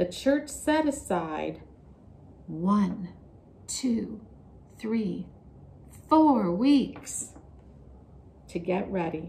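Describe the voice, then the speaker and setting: Very slow and full of long, frequent pauses, a woman's voice carries vocal fry, very wide pitch swings and a dark, mellow, gentle tone. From Canada. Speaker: children's Sunday school storyteller. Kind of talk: children's Bible storytelling. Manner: gentle and slow. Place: classroom.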